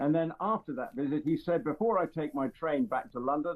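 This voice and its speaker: A man with a high pitch and an English accent speaks at a moderate pace with lively intonation. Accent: received pronunciation. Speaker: royal commentator. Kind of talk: casual chat. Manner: halting, many fillers.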